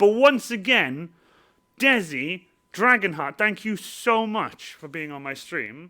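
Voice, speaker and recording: Raised and projected, the bright, sharp voice moves at a very slow pace with very wide pitch swings and big swings in loudness, on a very clean recording with a silent background. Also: man, high pitch for a man. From Wales. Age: 20s. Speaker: cosplayer and live streamer. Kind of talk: casual live stream chat. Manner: rambling, repetitive, stumbling.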